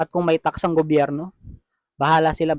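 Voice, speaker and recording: The recording is dry and close, with no echo. A man speaks very fast in a fairly high pitch. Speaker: vlogger. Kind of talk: product review. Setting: at home, later outdoors at night. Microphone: cheap wireless lavalier mic, compared with no mic.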